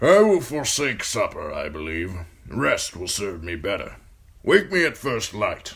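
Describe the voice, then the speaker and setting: A man speaks at a moderate pace in a gruff, put-on character voice, his loudness swinging widely. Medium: read story. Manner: authoritative, brusque.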